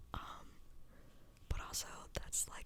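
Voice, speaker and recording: Whispered speech at a moderate pace. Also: woman. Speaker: podcast host, music reviewer. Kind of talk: casual talk to camera. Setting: home recording. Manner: relaxed, chatty.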